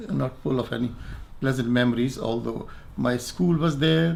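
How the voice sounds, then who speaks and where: A man at medium pitch talks at a moderate pace while noticeable background noise carries on around him. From Pakistan, Quetta (Balochistan). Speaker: retired doctor interviewee. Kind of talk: interview, personal recollection. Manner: halting, with false starts.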